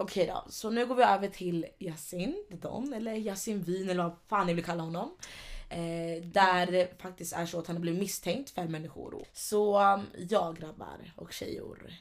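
This woman sounds animated, speaking at a fairly slow pace in a medium pitch. Her pitch varies in an ordinary way while her loudness swings widely. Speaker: podcast co-host, youtuber. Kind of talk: casual chat.

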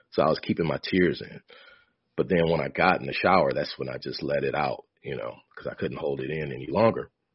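A man with an American accent at a moderate pace. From US Midwest, Michigan. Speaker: memoir author and spiritual speaker. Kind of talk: casual interview storytelling. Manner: calm, not easily excited.

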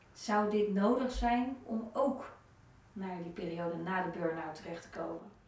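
A woman with a medium pitch speaks at a fairly slow pace. Audible room echo and noticeable background noise are present. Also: ordinary pitch variation. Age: 40s. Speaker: podcast host. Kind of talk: interview.

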